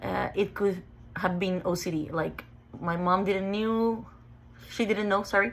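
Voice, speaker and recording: The speaker talks at a fairly slow pace with a Mexican accent. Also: woman. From Mexico, Ensenada. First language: Spanish. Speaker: OCD sufferer sharing her story. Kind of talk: personal testimony. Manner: halting, with self-corrections.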